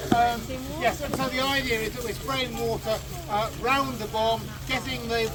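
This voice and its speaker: Noticeable background noise beneath a fairly slow delivery. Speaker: fire brigade reenactor demonstrator. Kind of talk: live outdoor demonstration talk to audience. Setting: outdoors with audience. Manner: loud.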